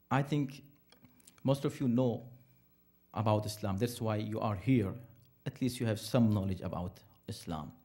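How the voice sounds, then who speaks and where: A man speaks at medium pitch with a dark, mellow tone and a somewhat breathy quality. His pace is moderate, his pitch variation ordinary, and he takes long, frequent pauses. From India. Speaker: imam. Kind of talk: interfaith talk. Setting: Islamic center with audience.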